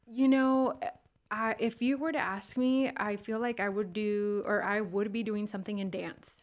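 Fairly high in pitch, a woman with an American accent has an unremarkable speaking voice and fairly even intonation. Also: moderate pace. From California Bay Area and Mexico (Michoacan). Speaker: human resources professional. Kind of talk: casual interview.

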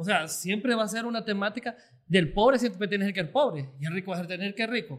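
A man talks at a high pitch. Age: 20s. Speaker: former student leader. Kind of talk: casual chat.

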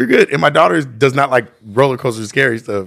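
Recorded very cleanly against a silent background, a man uses an ordinary speaking voice at a medium pitch and a fairly quick pace. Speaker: podcast guest. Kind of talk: casual chat.

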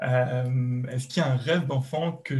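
A man's somewhat breathy voice at a medium pitch. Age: 20s. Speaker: software engineer. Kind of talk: casual interview. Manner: halting, many fillers and repetitions.

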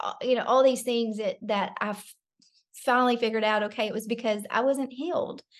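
Against a quiet background, a woman speaks in a fairly high pitch with monotone, flat intonation. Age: 40s. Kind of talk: interview.

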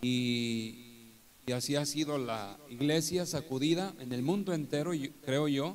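In a room with audible echo, a man speaks at a very slow pace with a fairly high pitch. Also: ordinary pitch variation. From northern Mexico (Torreón, Coahuila). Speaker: pastor. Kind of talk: testimony in a live church interview. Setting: live event with audience, streamed.

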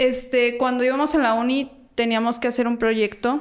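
A woman talks in a plain, everyday voice. Her pitch is fairly high and her pace fairly slow. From Mexico, Guanajuato (Salamanca). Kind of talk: casual chat.

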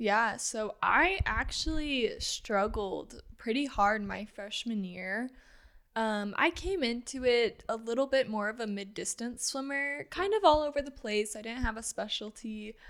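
Lively in intonation and fairly high in pitch, a woman talks in a plain, everyday voice at a fairly slow pace on a very clean recording with a silent background. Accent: American. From US Midwest, Granite City, Illinois. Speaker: former college swimmer, registered nurse. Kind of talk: casual interview.

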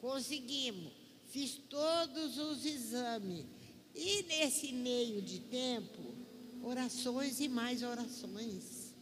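In a room with audible echo, a woman talks very slowly in a high pitch with ordinary pitch variation. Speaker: church member. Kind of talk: testimony. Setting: church.

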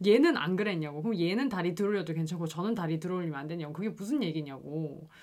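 A woman with a fairly low pitch talks at a very fast pace with hardly any pauses and ordinary pitch variation. Noticeable background noise is present. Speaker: podcast host. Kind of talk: casual chat.

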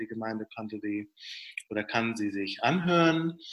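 A man's plain, everyday voice at medium pitch. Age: 40s. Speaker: pastor. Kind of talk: interview answers. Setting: video call.

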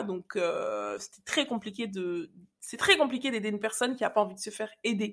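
A woman with an unremarkable speaking voice talks fairly quickly. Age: 30s. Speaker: podcast host, confidence coach. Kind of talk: personal storytelling monologue. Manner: casual, conversational.

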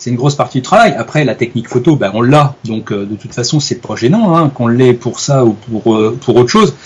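A man with a somewhat breathy voice speaks with hardly any pauses. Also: medium pitch for a man, ordinary pitch variation. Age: 40s. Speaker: wildlife photographer. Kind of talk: interview. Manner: hesitant, many fillers.

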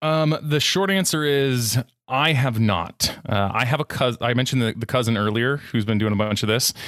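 This man has a normal speaking voice at a medium pitch, with ordinary pitch variation. He talks at a moderate pace with very even loudness. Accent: American. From California, US. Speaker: podcast host, guest here. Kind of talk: casual interview. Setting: remote podcast interview.

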